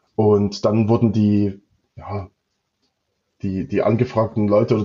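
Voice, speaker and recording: A somewhat breathy man's voice at fairly low pitch. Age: 30s. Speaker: managing partner of an electronics manufacturer. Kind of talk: interview. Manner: hesitant, many fillers and repetitions.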